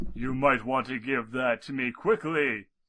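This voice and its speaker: Doing a put-on character voice, a man talks at a moderate pace and a medium pitch for a man. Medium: read story. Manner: solemn, explanatory.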